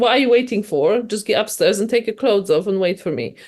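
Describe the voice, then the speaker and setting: The background is quiet as a woman speaks with a Polish accent. Her pitch is fairly high, with ordinary variation. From Poland. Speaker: novelist. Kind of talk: interview. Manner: halting, many restarts.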